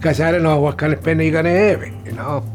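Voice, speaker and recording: A man speaks while music plays in the background. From Italy. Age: 70s. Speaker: patient, restaurant chef. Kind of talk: testimonial interview.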